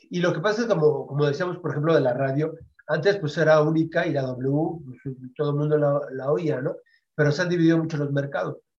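A man's fairly high, somewhat breathy voice at a fairly quick pace, with fairly even intonation. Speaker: internet radio host. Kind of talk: interview.

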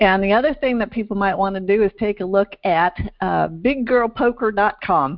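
Using a normal speaking voice, a woman talks at medium pitch and a moderate pace with ordinary pitch variation. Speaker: podcast host. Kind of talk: interview.

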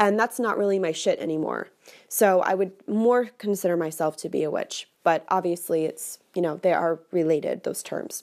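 Over a silent background in a very clean recording, a woman talks at a moderate pace with a medium pitch and ordinary pitch variation. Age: 20s. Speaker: podcast host, witchcraft practitioner. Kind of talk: solo podcast monologue. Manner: casual, with filler words.

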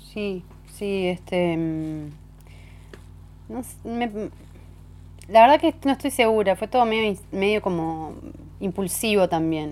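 Her pace is very slow, broken by long, frequent pauses. This woman speaks at a medium pitch with lively intonation. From Uruguay, Neptunia near Montevideo. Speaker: singer-songwriter. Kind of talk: casual interview chat. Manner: halting, many fillers and restarts.

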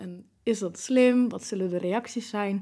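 At a fairly slow pace, an unremarkable speaking voice shows ordinary pitch variation. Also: woman. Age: 20s. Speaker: person living with MS. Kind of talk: interview.

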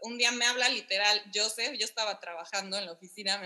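Fairly high in pitch, a woman with an unremarkable speaking voice talks at a fairly quick pace with ordinary pitch variation. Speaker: podcast guest, wife in intercultural couple. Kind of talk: casual chat.

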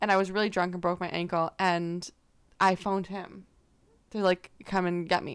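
Her intonation monotone and flat, a woman speaks at medium pitch and a moderate pace. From Canada. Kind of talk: casual chat. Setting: outdoors. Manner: giggly, joking.

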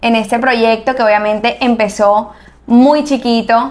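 A woman's plain, everyday voice, fairly high in pitch, with fairly even intonation and a fairly slow pace. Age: 20s. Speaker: architect and entrepreneur. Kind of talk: interview.

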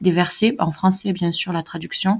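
Somewhat breathy, a woman talks at a moderate pace with medium pitch and ordinary pitch variation. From southern France, countryside. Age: 20s. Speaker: Quran learner, convert. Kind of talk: testimony.

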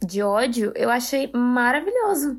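This woman talks with a high-pitched voice. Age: 20s. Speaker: podcast co-host. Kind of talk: casual chat.

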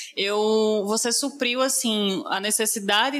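A woman speaks at a fairly slow pace in a fairly high voice with fairly even intonation, over noticeable background noise. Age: 20s. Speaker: podcast host, public relations professional. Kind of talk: interview.

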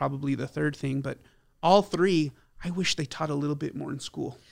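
This man has a fairly high pitch, a plain, everyday voice, and fairly even intonation. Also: very clean recording, silent background. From El Paso, Texas. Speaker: financial advisor. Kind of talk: interview.

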